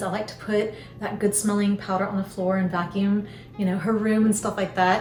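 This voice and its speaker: A woman with an American accent at a moderate pace, with audible room echo and music in the background. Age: 50s. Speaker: lifestyle vlogger. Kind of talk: casual chat.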